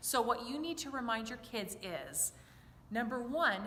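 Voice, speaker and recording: A raised, projected voice comes through with lively intonation. Audible room echo and noticeable background noise fill the recording. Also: woman. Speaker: children's choir director. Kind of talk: tutorial. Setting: church. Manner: animated.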